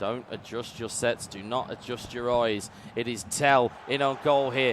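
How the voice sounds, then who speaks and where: A man with a British accent talks in an animated tone over noticeable background noise. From UK. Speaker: esports commentator. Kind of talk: live commentary.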